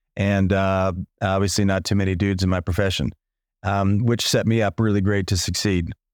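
A man with an American accent at a fairly low pitch and fairly quick pace, very even in loudness, with monotone, flat intonation, on a very clean recording with a silent background. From US Midwest, small-town Illinois. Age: 40s. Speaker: leadership and business coach. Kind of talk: casual interview conversation.

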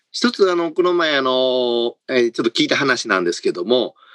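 The sound is close-miked and dry, lacking any echo. A man talks at a moderate speed. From Kansai, Japan. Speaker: corporate HR executive. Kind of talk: panel discussion.

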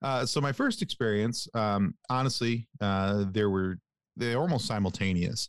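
Recorded very cleanly against a silent background, a man talks at a fairly slow pace with medium pitch, ordinary pitch variation and very even loudness. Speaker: podcast host. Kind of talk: casual interview chat. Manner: halting, many fillers.

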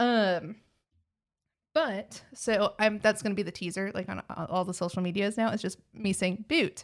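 The recording is very clean, with a silent background. A woman speaks at medium pitch with a slight Texan accent. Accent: Texas accent, slight. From Texas. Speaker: podcast host. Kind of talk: casual chat.

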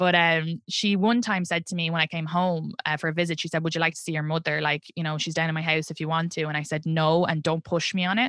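She talks with an Irish accent. The woman's delivery is very fast. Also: very clean recording, silent background. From Ireland. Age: 30s. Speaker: comedian. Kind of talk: casual interview chat. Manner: animated, casual, laughs often.

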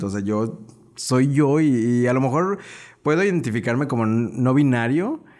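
A man talks at a medium pitch. Room echo is audible. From León, Guanajuato, Mexico. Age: 20s. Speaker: social media influencer. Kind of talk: casual interview.

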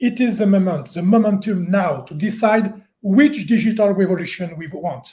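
Speaking fairly slowly in a French accent, a man has a high pitch, a dark, mellow tone and ordinary pitch variation. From France. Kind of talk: panel discussion. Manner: halting.

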